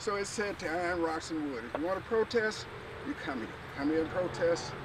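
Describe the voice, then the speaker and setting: Fairly quick and high-pitched, a man speaks with lively intonation. Noticeable background noise and audible room echo fill the recording. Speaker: artist and museum founder giving a tour. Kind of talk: walking tour talk. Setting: outdoors. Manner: soft-spoken.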